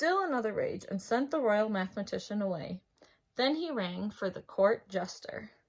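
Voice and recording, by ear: In a quiet background, a natural voice reads aloud.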